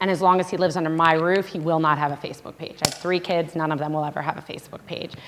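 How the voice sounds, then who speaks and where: Amid noticeable background noise, a woman talks very fast in a fairly low, monotone, flat voice. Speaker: social media marketer giving a parent seminar. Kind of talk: seminar presentation.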